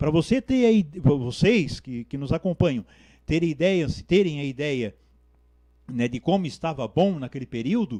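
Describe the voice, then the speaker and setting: Over a quiet background, a man speaks at a fairly slow pace in a dark, mellow tone, the sound dry and close with no echo. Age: 60s. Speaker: community activist and bricklayer. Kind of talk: TV interview.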